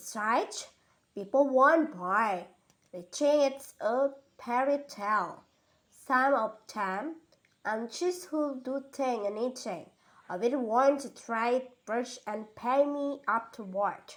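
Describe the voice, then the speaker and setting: Putting on a gruff character voice, a woman speaks at a fairly slow pace with high pitch and lively intonation. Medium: read story. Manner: solemn, gruff.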